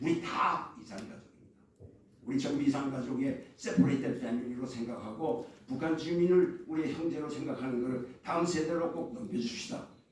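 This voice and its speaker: Fairly high in pitch, a man talks at a fairly quick pace with lively intonation. Noticeable background noise and audible room echo fill the recording. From North Korea, moved south at age six. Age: 70s. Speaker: foundation leader, forum speaker. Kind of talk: opening speech at a forum. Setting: press center conference room. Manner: halting, with self-corrections.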